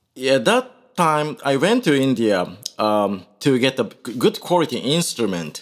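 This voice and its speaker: A medium-pitched man with a Japanese accent and very wide pitch swings. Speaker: Indian classical musician. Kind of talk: interview. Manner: halting.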